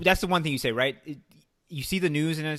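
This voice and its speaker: Talking at a very fast pace, a man with a Chicago accent has a bright, sharp tone and fairly even intonation. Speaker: podcast host. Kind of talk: casual chat.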